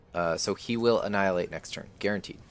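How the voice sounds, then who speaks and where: A man with a very deep, low pitch speaks fairly quickly and with fairly even intonation as music plays in the background. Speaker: gaming streamer. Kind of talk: live gameplay commentary. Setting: live stream. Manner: fast.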